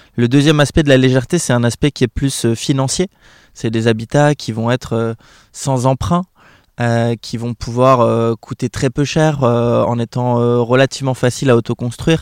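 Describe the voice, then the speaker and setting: Medium-pitched male speech at a moderate pace, fairly even in intonation, with a dry, close sound and no echo. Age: 30s. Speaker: association coordinator. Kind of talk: interview. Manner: halting, many hesitations.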